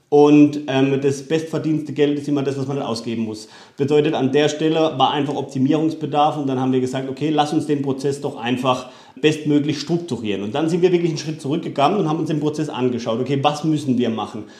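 A man talks very fast at a fairly high pitch, with a dark, mellow tone. His intonation is fairly even, and room echo is audible. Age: 30s. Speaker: solar company founder. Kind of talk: interview. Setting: at his company premises.

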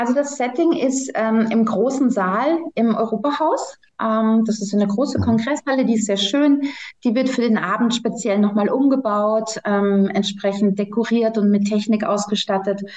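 A somewhat breathy woman at a fairly high pitch and moderate pace, her loudness very even. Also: ordinary pitch variation. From Germany. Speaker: congress organizer. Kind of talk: podcast interview.

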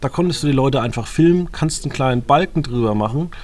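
This man uses a plain, everyday voice, keeping a medium pitch that shifts in an ordinary way. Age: 30s. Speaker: podcast host. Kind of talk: casual chat.

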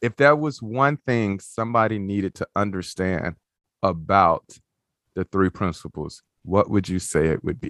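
A man speaks with a Southern US accent at a fairly slow pace. His fairly low pitch shows ordinary variation against a quiet background. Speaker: podcast host. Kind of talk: podcast interview, casual chat. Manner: warm, upbeat.

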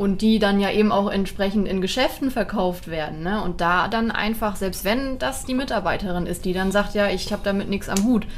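A moderately paced delivery with ordinary pitch variation and hardly any pauses, audible room echo, and noticeable background noise. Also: woman, medium pitch for a woman. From Germany. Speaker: animal welfare volunteer, dog trainer. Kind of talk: casual chat. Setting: recorded on location in Portugal.

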